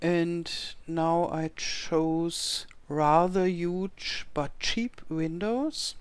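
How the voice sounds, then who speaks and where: Very slow, fairly low-pitched speech from a woman with a German accent and ordinary pitch variation. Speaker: video game youtuber. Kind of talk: gameplay commentary. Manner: halting.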